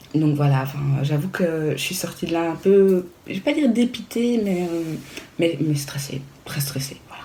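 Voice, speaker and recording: Noticeable background noise and audible room echo fill the recording. A woman with a fairly low pitch speaks with lively intonation and big swings in loudness. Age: 30s. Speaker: vlogger. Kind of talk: casual vlog talk. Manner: hesitant, many fillers.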